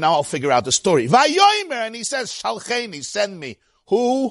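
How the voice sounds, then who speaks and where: A man's high voice with a Brooklyn accent. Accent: New York (Brooklyn). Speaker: rabbi teaching Torah class. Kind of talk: Torah lecture.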